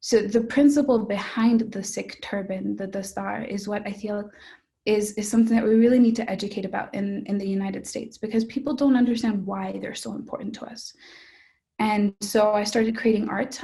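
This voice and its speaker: Somewhat breathy and dark and mellow in tone, a woman talks at a fairly quick pace with a fairly high pitch, fairly even intonation and big swings in loudness. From Mexico. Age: young. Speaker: budding artist. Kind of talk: interview answer.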